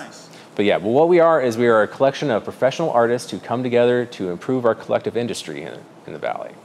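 With an American accent, a man talks at a very fast pace and medium pitch, his intonation lively over light background noise. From Fruita, western Colorado; Colorado. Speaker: artist and gallery owner. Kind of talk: interview. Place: shop.

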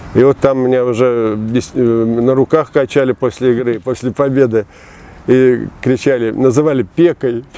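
The sound is dry with no echo. A man talks with fairly even intonation. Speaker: former football coach. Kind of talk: interview answer. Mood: warm, nostalgic. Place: garden. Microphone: lapel.

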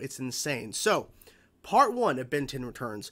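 His tone comes across bright and sharp. The man keeps a moderate pace. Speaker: reaction channel host. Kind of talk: casual vlog chat. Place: home room.

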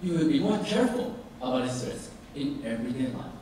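There is strong room echo and light background noise as a man speaks at a moderate pace. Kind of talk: formal speech. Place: hall.

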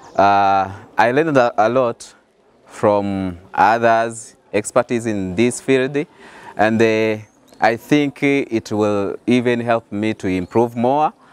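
Speaking with a Burundian accent, a man at medium pitch goes at a very slow pace with ordinary pitch variation, and the sound is dry with no echo. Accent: Burundian francophone English. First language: French. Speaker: graduate student. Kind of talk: interview testimonial; interview answer. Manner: halting. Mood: friendly, smiling. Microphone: lapel.

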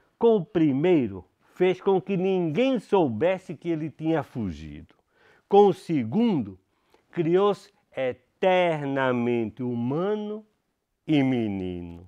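The background stays quiet. A man speaks very slowly. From Portugal. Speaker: teacher reading poetry. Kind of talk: poem reading aloud, in a school reading series. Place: studio.

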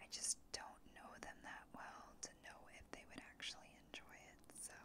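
Whispering from a woman, fairly slow in pace. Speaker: ASMR creator. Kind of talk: ASMR show and tell, casual talk to camera. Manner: whispered, soft-spoken. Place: home room. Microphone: studio mic.

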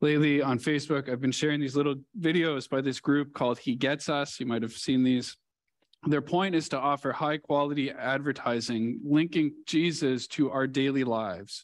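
A man at a moderate pace, with fairly even intonation and a quiet background. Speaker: preacher. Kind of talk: sermon. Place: church. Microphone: headset.

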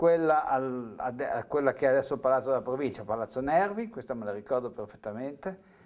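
A man talks at a moderate speed, his intonation lively, with a quiet background. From Italy, Savona (Liguria); Liguria, Italy. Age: 60s. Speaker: TV writer and university lecturer; university lecturer. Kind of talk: interview testimony; interview answer. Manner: halting, with repetitions. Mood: reflective, at times animated. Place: studio.

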